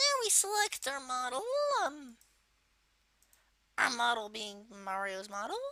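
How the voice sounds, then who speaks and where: A put-on character voice, female-sounding and high-pitched for a woman, with very wide pitch swings and long, frequent pauses. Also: moderate pace. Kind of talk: software tutorial narration. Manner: casual, hesitant.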